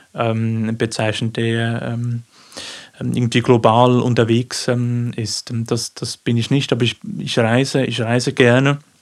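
With a Swiss accent, a man speaks at a fairly slow pace in a medium pitch with monotone, flat intonation. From Switzerland, Aargau (Baden). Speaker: poet and teacher. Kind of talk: interview. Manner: halting.

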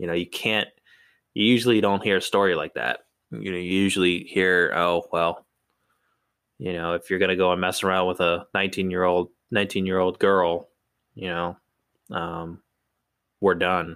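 A man with an American accent, at a moderate pace, his fairly even intonation broken by long, frequent pauses. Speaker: podcast co-host. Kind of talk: casual chat.

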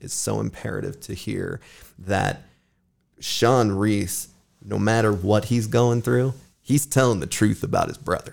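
In a very clean recording with a silent background, a man speaks at a moderate pace with a fairly low pitch, vocal fry and lively intonation. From Sparks, Nevada. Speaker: podcast host. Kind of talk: casual chat.

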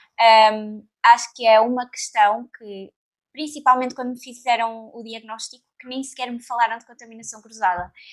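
A woman talks in an ordinary speaking voice. Her loudness rises and falls sharply. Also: fairly high pitch for a woman, fairly even intonation, moderate pace. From Portugal, Leiria area. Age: 20s. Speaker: nutritionist. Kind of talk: casual chat.

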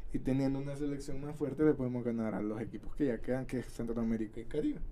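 Audible room echo surrounds a man with a Salvadoran accent and a dark, mellow tone. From El Salvador, San Miguel. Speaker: podcast co-host. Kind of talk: casual chat. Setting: studio.

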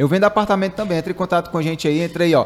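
A man with a Ceará accent. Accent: Ceará Northeastern Brazilian. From Fortaleza, Ceará, Brazil. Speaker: podcast host. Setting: studio.

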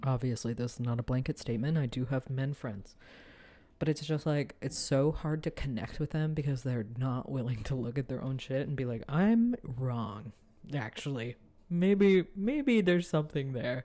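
A very clean, silent-background recording of speech at a moderate pace. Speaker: solo podcaster. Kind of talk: casual solo monologue. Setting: home recording, noisy neighbors. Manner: many fillers, hesitant.

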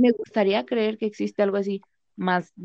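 A woman's dark, mellow tone at a moderate pace, fairly even in intonation, with a dry, close sound and no echo. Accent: Mexican. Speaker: accounting assistant. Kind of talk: casual chat.

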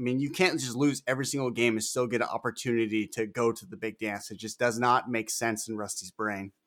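Medium-pitched male speech delivered at a fairly quick clip. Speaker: firefighter and podcast co-host. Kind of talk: casual chat. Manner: loud; excitable.

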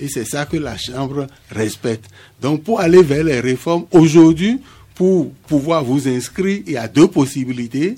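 A man's fairly high, dark and mellow voice, with lively intonation at a fairly slow pace. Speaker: craft chamber official. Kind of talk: radio interview.

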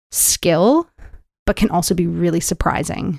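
Heard dry and close with no echo, a woman speaks at a fairly low pitch and moderate pace. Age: 30s. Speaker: dancer and choreographer. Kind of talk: interview. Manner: animated.

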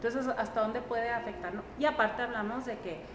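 Fairly quick speech amid noticeable background noise and audible room echo. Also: woman. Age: 30s. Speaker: psychologist. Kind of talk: interview.

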